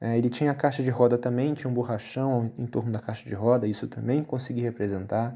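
The background is quiet. A man with a dark, mellow tone talks at a fairly quick pace. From Rio de Janeiro, Brazil. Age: 30s. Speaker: bus miniature hobbyist YouTuber. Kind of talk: casual video commentary. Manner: hesitant, many fillers.

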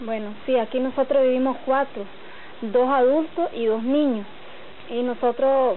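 With fairly even intonation and a high pitch, a woman speaks at a moderate pace over noticeable background noise. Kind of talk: documentary interview.

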